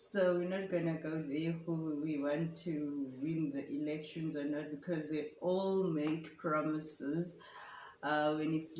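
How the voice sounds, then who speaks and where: Speaking at a fairly slow pace with a South African accent, a woman with a very deep, low voice keeps a flat monotone while the room echo is audible. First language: Afrikaans. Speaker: vlogger. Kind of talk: casual chat.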